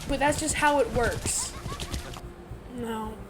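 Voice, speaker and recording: The intonation stays fairly even while noticeable background noise sits behind the voice. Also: woman. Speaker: gaming YouTuber. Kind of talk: video essay commentary. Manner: halting; quiet.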